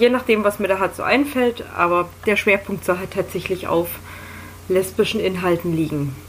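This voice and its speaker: A woman speaks at a medium pitch. There is noticeable background noise. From Berlin, Germany. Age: 20s. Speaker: podcast host. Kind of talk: casual monologue.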